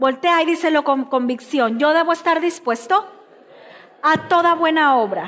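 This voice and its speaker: Against a quiet background, a woman speaks at a high pitch with ordinary pitch variation. Her pace is fairly slow. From Mexico, Chiapas (Tuxtla Gutiérrez), raised in Veracruz from age 11; Chiapas, Mexico. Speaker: pastor. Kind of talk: sermon. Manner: emphatic, repetitive preaching. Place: church.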